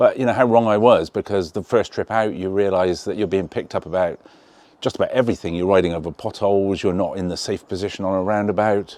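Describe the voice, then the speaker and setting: A man with an English accent talks very fast in a fairly low voice, his intonation fairly even. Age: 60s. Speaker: motorcycle riding tutor group member. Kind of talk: interview. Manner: casual, hesitant with fillers.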